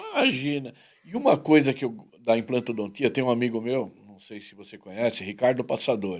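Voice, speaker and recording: Speaking at a moderate pace, a man with a plain, everyday voice keeps a medium pitch and ordinary pitch variation while his loudness swings widely. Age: 60s. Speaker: talk show host. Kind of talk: casual interview chat.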